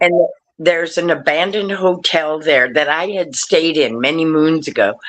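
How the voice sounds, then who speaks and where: At a moderate pace, a woman with a fairly low pitch speaks with ordinary pitch variation and very even loudness. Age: 60s. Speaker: haunted building owner. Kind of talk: casual chat. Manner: energetic.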